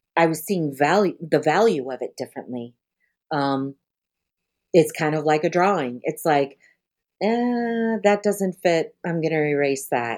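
With an American accent, a woman speaks at a fairly slow pace in a very deep, low voice with lively intonation, leaving long, frequent pauses. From Colorado, US. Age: 50s. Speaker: nonprofit founder. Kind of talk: interview. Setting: remote call.

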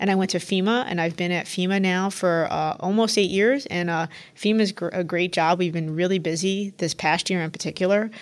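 A woman with an ordinary speaking voice at a medium pitch talks at a fairly quick pace, with hardly any pauses and fairly even intonation. The recording is very clean, with a silent background. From New York City. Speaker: federal emergency management administrator. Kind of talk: panel interview.

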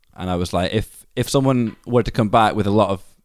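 A man with a Scottish accent at a moderate pace. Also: very clean recording, silent background. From Scotland. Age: 30s. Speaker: skate charity founder. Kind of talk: interview.

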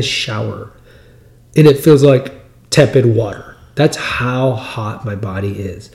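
A man with an American accent talks at a fairly slow pace. His voice is somewhat breathy, with lively intonation. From US Texas. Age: 50s. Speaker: podcast host. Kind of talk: solo monologue on health news. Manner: conversational, rambling, repeats words.

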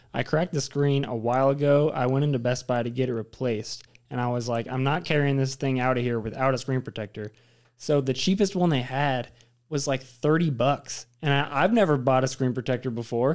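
In a very clean recording with a silent background, a man with a plain, everyday voice speaks at a fairly quick pace, with medium pitch and ordinary pitch variation. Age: young. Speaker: college student. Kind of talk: casual chat.

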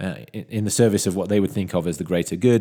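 Talking very fast, a man with a British accent has a very deep, low pitch and a dark, mellow tone, on a very clean recording with a silent background. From UK. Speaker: tech analyst podcast host. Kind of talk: solo news commentary.

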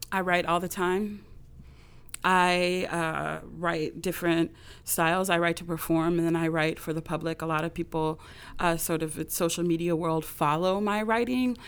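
With a Californian accent, a woman speaks at a moderate pace with fairly even intonation. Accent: General American (California). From US West Coast, Los Angeles. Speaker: visual artist and performer. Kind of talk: interview.

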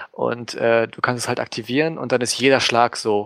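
A man is speaking at medium pitch. The pace is moderate. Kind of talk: casual chat.

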